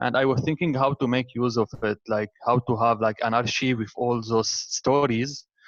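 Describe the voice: At a moderate pace, the speech has fairly even intonation and a dry, close sound with no echo. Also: man, medium pitch for a man.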